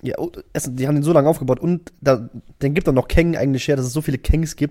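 A man speaks at a very fast pace with a fairly high pitch. His tone is dark and mellow, with ordinary pitch variation. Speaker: podcast co-host. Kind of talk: casual chat. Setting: home recording on camera. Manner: animated. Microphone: backup camera, poorer picture.

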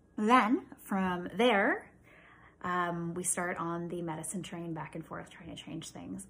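This woman has a Canadian accent and a fairly low pitch. She speaks at a fairly slow pace. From small-town Ontario, Canada. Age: 40s. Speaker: podcast host with chronic illness. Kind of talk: casual monologue.

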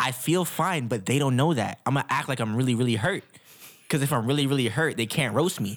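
A man speaks in an ordinary speaking voice at a medium pitch, moving at a fairly quick pace with ordinary pitch variation and very even loudness. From Ottawa, Canada. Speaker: podcast co-host and kitchen worker. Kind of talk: casual sports chat.

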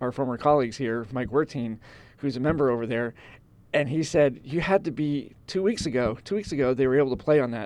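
In a quiet background, a man speaks in a medium pitch with ordinary pitch variation. It is an ordinary speaking voice. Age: 50s. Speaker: golf podcast co-host. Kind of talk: casual chat.

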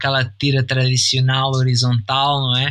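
At a moderate pace, a man speaks at a medium pitch over noticeable background noise. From Brazil and Portugal. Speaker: cartoonist. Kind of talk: casual interview.

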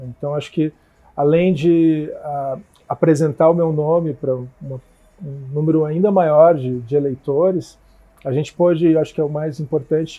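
A man with a fairly high pitch talks at a fairly slow pace with fairly even intonation in a normal speaking voice. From Curitiba, southern Brazil. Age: 40s. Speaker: politician. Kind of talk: casual interview.

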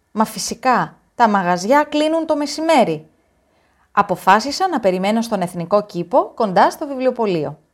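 On a very clean recording with a silent background, a woman with a fairly high pitch talks at a fairly slow pace, her pitch swinging very widely. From Greece. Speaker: story narrator. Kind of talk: reading aloud.

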